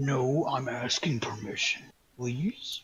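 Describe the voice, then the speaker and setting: A man uses a raspy, put-on character voice at a medium pitch. He speaks at a fairly slow pace. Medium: actual play. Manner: smug, mocking.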